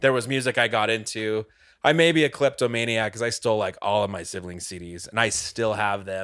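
A man speaks with an American accent and an unremarkable speaking voice, pitched fairly low. His pitch varies an ordinary amount and his pace is fairly quick. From Utah, Cedar City. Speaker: guitarist in a band. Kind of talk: casual chat.

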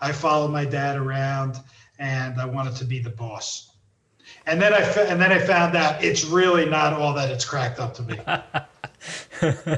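A man's fairly high voice with a New Jersey accent and fairly even intonation. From US East Coast, New Jersey. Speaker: entrepreneur and author. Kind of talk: casual interview.

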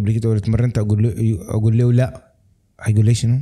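In a dark, mellow tone, a man speaks at a very fast pace. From Sudanese, raised in Lebanon. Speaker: film director. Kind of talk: casual chat.

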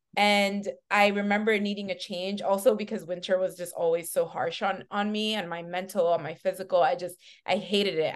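A woman's normal speaking voice, medium in pitch, with an American accent and a fairly quick pace. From New York City, Washington Heights, Dominican family. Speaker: talent manager. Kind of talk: casual interview chat. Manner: relaxed, upbeat.

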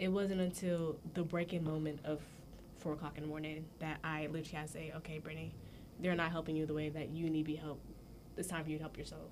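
This woman speaks very fast in an American accent, her pitch very deep and low, her intonation flat and monotone, with audible echo from the room. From US, Jamaican family. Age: 20s. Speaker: college student podcast guest. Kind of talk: casual chat.

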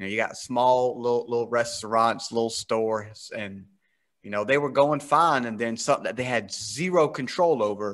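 With an American accent, a man has a plain, everyday voice at a medium pitch with ordinary pitch variation, heard against a quiet background. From US South. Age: 30s. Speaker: podcast host. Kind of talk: casual interview chat.

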